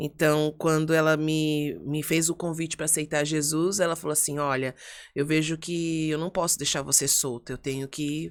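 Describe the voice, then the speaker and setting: A woman speaks at a moderate pace in a very deep, low voice with monotone, flat intonation. The recording is very clean, with a silent background. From São Paulo state, Brazil. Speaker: pastor. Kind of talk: podcast interview.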